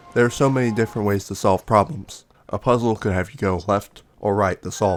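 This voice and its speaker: With music in the background, a man speaks fairly quickly in a fairly low voice with ordinary pitch variation. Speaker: video game commentator. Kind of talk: video essay narration. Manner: casual, humorous.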